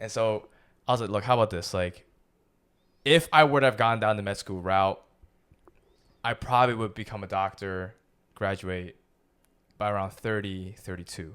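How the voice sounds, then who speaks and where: Pausing long and often, a man talks at a moderate pace in a fairly low voice with big swings in loudness, in a very clean recording with a silent background. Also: ordinary pitch variation. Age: 30s. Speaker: podcast co-host, actor. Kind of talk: casual chat.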